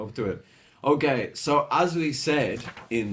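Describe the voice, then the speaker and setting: Speaking at a fairly slow pace, a man's voice swings very widely in pitch. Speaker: English teacher. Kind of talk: lesson.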